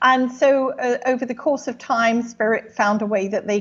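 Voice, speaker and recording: With an English accent, a woman speaks at a moderate pace and ordinary pitch variation. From England. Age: 60s. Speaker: clairvoyant medium. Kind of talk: interview.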